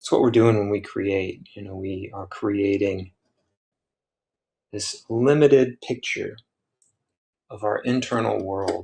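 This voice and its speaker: Very slow speech with long, frequent pauses comes through a somewhat breathy, dark, mellow tone. Loudness swings widely and pitch varies in an ordinary way against a quiet background. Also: man, fairly low pitch for a man. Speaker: printmaker and artist. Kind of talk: casual livestream musing. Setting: livestream while carving.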